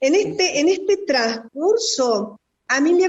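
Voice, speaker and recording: Pitch leaps up and down dramatically while the words come out somewhat slowly. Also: woman. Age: 50s. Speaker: spiritual therapist. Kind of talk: radio interview. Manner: reflective.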